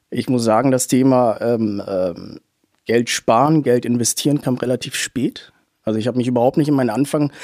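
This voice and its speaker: A man speaks in a plain, everyday voice at medium pitch and a moderate pace. The sound is dry and close, with no echo. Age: 20s. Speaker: small property investor. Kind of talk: interview.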